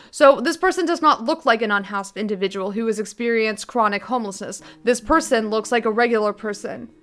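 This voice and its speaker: With an ordinary speaking voice, a woman talks at a moderate pace. Her fairly high pitch moves with lively intonation. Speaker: streamer reacting to videos. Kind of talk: reaction commentary.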